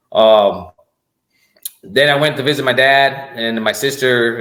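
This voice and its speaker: Audible room echo around a man's medium-pitched voice in a Spanish accent. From Puerto Rico. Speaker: army command sergeant major. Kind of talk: podcast interview. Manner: halting, many repetitions and fillers.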